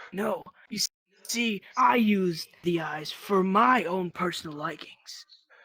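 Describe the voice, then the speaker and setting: A man puts on a character voice at a high pitch. He talks at a fairly slow pace with ordinary pitch variation. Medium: machinima. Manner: cold, curt.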